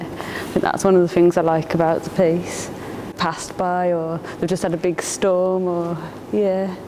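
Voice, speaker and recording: Medium-pitched female speech amid noticeable background noise. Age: 30s. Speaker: artist. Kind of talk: casual interview. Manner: hesitant, filler-heavy.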